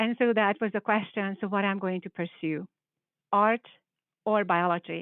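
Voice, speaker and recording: Moderate-paced speech in a Hungarian accent, with ordinary pitch variation. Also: woman. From Hungary. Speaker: biology professor. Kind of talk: panel presentation.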